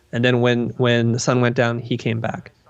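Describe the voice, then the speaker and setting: A man at a medium pitch, with an unremarkable speaking voice and a fairly quick pace. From Vietnam, raised in US. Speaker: design educator. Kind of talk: interview conversation.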